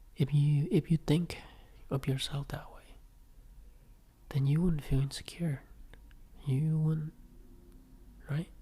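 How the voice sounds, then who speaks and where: This man's voice is dark and mellow, fairly high and somewhat breathy, moving very slowly with long, frequent pauses, big swings in loudness and a monotone, flat delivery. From Vietnam. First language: Vietnamese. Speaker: podcaster. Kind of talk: personal reflective monologue.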